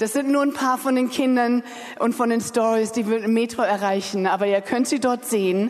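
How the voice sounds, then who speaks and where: Noticeable background noise sits under a woman's fairly high voice. She moves at a moderate pace with fairly even intonation. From Germany, Berlin. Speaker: charity sponsorship coordinator. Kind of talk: announcement. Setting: church.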